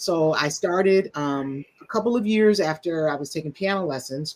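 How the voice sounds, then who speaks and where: A woman with a very deep, low pitch, lively intonation and an American accent. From US Midwest, Detroit, Michigan. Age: 60s. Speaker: musician and counselor. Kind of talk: interview conversation.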